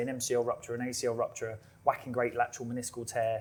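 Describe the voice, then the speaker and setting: A man with a British accent speaks at medium pitch in a somewhat breathy voice. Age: 30s. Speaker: physiotherapist. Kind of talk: live podcast discussion. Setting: live recording with audience.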